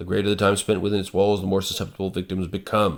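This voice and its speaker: A man's voice comes through in a very clean recording with a silent background. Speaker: tabletop game reviewer; computer scientist. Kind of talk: casual review talk to camera.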